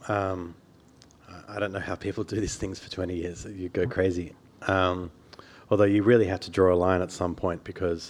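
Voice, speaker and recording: A man with an Australian accent speaks at a very deep, low pitch in a monotone, flat way. His loudness swings widely, and he leaves long, frequent pauses. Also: moderate pace. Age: 40s. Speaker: journalist and biographer. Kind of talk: author talk. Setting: stage with audience.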